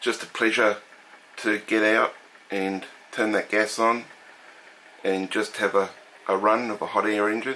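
A man with an Australian accent talks at a moderate pace in a fairly low pitch, leaving long, frequent pauses over light background noise. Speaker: hobbyist model engine collector. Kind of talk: show-and-tell video demonstration. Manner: casual, with filler words. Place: home room.

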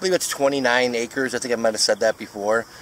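A man talks at a very fast pace. The sound is dry with no echo, and there is light background noise. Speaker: photographer vlogger. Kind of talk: casual vlog chat. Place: waterside. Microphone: phone near.

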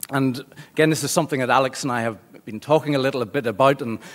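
The speaker moves at a fairly quick pace with ordinary pitch variation. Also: man. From Northern Ireland, Belfast. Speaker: law lecturer. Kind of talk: lecture. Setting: seminar room with audience. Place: meeting room.

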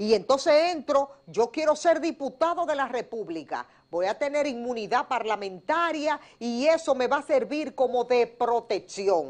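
Lively intonation carries a woman's high-pitched voice at a fairly slow pace. The background is quiet. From Dominican Republic. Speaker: news analysis show host. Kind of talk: news analysis talk show. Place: studio.

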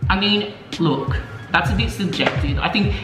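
The man talks at a moderate speed while clear music plays behind him. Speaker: vlog host. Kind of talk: casual vlog chat. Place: kitchen. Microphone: phone near.

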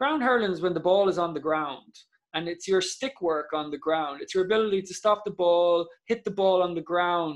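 With an Irish Midlands accent, a man speaks at a moderate pace in a high pitch, with ordinary pitch variation. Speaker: Gaelic football player. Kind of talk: casual chat.

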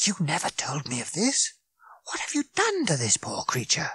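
Whispering in a put-on character voice, a man hisses his words at a moderate pace, the sound dry and close with no echo. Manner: sharp, hissed, urgent whisper.

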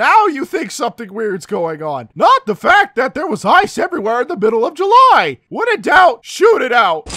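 Shouting at an extremely high pitch, a man swings his pitch very widely at a moderate pace with hardly any pauses. The sound is dry and close, with no echo. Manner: excitable, sarcastic.

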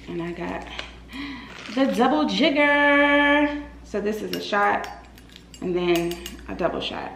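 A woman speaks at a very slow pace. The room echo is audible, and there is light background noise. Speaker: lifestyle vlogger. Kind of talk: casual vlog chat. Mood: cheerful, excited. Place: home room. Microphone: phone near.

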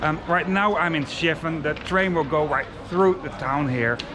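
A man talks, and noticeable background noise can be heard throughout. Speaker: travel vlogger. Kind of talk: casual vlog chat. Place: street. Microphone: phone near.

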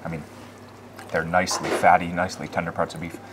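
Noticeable noise fills the background while a man talks. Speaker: local food vlogger, Chiang Mai resident; food vlogger guest. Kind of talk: casual chat. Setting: outdoors at a mountain restaurant. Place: cafe.

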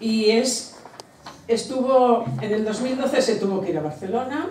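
Audible room echo surrounds the voice, along with light background noise. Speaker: sister of the late author. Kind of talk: informal speech, hesitant. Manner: halting, hesitant. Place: hall. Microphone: camera far.

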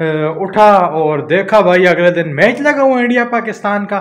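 Pitched high, a man talks at a fairly slow pace. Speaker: vlogger. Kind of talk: casual vlog chat. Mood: frustrated cricket rant. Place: empty room. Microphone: phone near.

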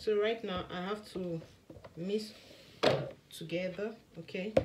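Loud background noise sits under a woman's voice. She speaks at a fairly slow pace with fairly even intonation. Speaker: skincare maker and vlogger. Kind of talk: tutorial. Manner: soft-spoken. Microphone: phone near.

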